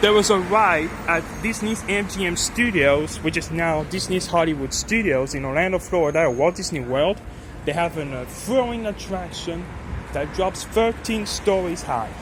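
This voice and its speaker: A man with a French accent speaks at a moderate pace, high in pitch, with lively intonation. Audible room echo and noticeable background noise are present. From France. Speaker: elevator enthusiast vlogger. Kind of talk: casual vlog narration. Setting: parking garage. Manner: halting.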